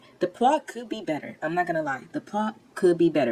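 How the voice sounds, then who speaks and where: A woman with a non-native accent. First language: not English. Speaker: YouTube movie commentator. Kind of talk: casual video commentary. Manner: halting, self-correcting.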